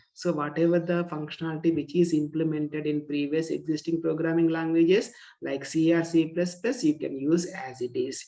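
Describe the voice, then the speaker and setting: The speaker has an Indian accent. There are hardly any pauses. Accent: Indian English (Telugu). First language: Telugu. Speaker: teacher. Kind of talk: lecture. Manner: repetitive, with fillers.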